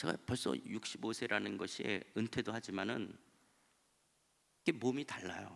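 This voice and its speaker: Male speech marked by vocal fry, its pitch varying in an ordinary way. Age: 60s. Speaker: pastor. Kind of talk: sermon.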